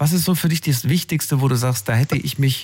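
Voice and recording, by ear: A man speaks at medium pitch with lively intonation. His tone is slightly mellow with a slightly husky edge.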